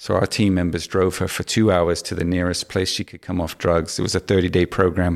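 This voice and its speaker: A man with a very deep, low pitch talks at a fairly quick pace with hardly any pauses and monotone, flat intonation. The sound is dry and close with no echo, on a very clean recording with a silent background. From Hong Kong, English family. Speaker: business consultant. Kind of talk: interview.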